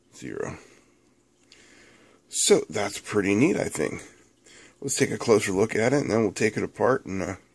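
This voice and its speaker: A man speaks with lively intonation and vocal fry. His delivery has long, frequent pauses. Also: fairly low pitch for a man, moderate pace. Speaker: electronics youtuber. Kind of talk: tutorial. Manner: casual with filler words.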